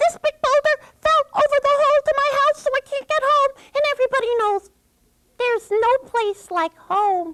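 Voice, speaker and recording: A put-on, squeaky character voice at an extremely high pitch and a moderate pace. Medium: read story.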